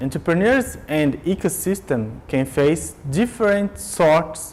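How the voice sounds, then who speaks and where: A fairly high-pitched man at a fairly slow pace, with lively intonation. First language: Portuguese. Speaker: business lecturer. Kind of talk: lecture.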